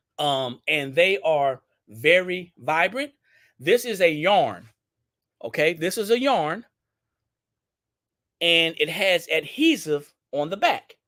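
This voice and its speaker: In a Southern US accent, a man speaks at a very slow pace with a high pitch, a bright, sharp tone and lively intonation. Long, frequent pauses fill a very clean recording with a silent background. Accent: Southern country twang. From Louisiana, Baton Rouge. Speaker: business owner hosting product livestream. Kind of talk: live product demo stream. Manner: casual, repetitive.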